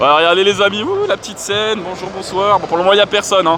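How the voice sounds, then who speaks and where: Amid noticeable background noise, a man with a high pitch uses a raised, projected voice at a fairly quick pace. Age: 30s. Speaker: gaming YouTuber. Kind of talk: vlog walkthrough. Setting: gaming convention hall. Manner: animated.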